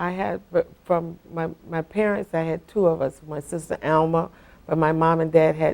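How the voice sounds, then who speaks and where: The speech keeps a moderate pace with fairly even intonation. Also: woman, fairly low pitch for a woman. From South Florida (Deerfield Beach). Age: 60s. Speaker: longtime local resident. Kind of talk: oral history interview. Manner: halting, with frequent fillers and restarts.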